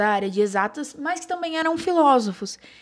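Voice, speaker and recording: A woman talks with a strong interior São Paulo accent. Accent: strong retroflex R of interior São Paulo. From Bauru, interior of São Paulo, Brazil. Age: 20s. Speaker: podcast host, advertising student. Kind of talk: casual chat.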